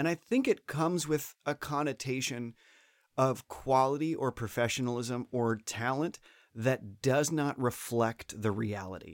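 In a plain, everyday voice, a man with an American accent speaks at a medium pitch and a fairly slow pace with ordinary pitch variation. The recording is very clean with a silent background and a dry, close sound with no echo. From Florida. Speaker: theme park performer and comedian. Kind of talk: casual chat. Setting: studio, same room as host.

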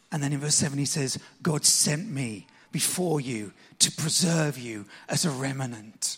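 Somewhat breathy, this voice moves at a very slow pace with ordinary pitch variation. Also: man, fairly high pitch for a man. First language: English (speaking Japanese). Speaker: pastor. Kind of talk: sermon.

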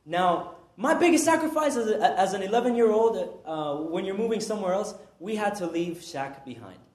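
Audible room echo surrounds a man whose high-pitched voice swings very widely in pitch with an animated tone. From Peru. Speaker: preacher. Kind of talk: sermon. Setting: church.

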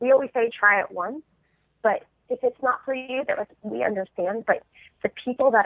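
With an American accent, a woman talks at a fairly quick pace and with lively intonation. She has a plain, everyday voice. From Southern California. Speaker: nonprofit fundraiser, fitness group co-founder. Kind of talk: casual interview.

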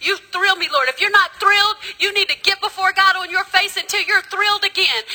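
A woman with an American accent speaks at a fairly quick pace. Her voice is raised and projected, with an extremely high pitch. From US South. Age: 50s. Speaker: preacher. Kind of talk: sermon. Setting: church. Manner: animated.

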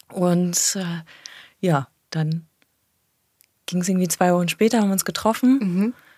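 A woman with a medium pitch and a dark, mellow tone speaks at a fairly slow pace, with long, frequent pauses and ordinary pitch variation. The sound is dry and close, with no echo. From Germany, Cologne. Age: 30s. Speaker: tourism manager. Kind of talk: interview.

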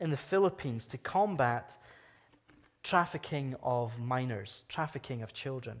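A man speaks in a Scottish accent at a fairly high pitch. His intonation is lively. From Scotland. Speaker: guest preacher from anti-trafficking charity. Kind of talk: sermon. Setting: church service with congregation.

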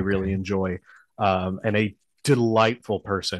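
An ordinary speaking voice from a man, fairly low in pitch with fairly even intonation, moves at a moderate pace in a dry, close recording with no echo and a quiet background. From Texas, Houston. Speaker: musician and podcast host. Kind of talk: casual chat.

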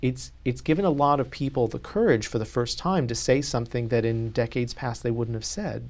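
Talking at a fairly quick pace with hardly any pauses, a man uses a medium pitch, ordinary pitch variation and a somewhat breathy voice. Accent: American. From US South, North Carolina. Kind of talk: interview.

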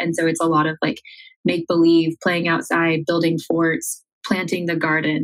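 Music plays behind a woman with an American accent. She speaks at a fairly quick pace. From rural Iowa, US Midwest. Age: 20s. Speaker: social media manager. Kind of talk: interview conversation.

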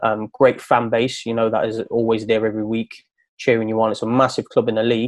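The recording of this man at a medium pitch sounds dry and close, with no echo. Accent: East Midlands. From Nottingham, England. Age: 30s. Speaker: footballer and coach. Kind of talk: casual chat.

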